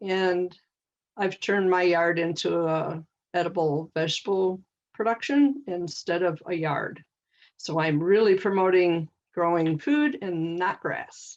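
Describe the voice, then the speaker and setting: A woman talks rather slowly, her pitch rising and falling in an ordinary way. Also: fairly low pitch for a woman. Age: 60s. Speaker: gardening educator. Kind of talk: workshop presentation. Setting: video call. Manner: halting.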